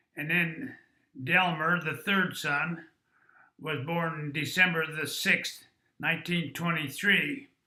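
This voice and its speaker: With an American accent, a man speaks at a very slow pace, his pitch fairly high and his tone bright and sharp. His intonation stays fairly even, and the room echo is audible. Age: 80s+. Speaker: interviewee recounting family history. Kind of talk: oral history interview. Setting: at family home.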